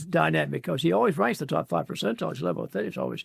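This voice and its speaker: Speaking at a very fast pace, a man uses vocal fry and very wide pitch swings. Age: 90s. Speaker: physician, preventive medicine pioneer. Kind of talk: interview answer.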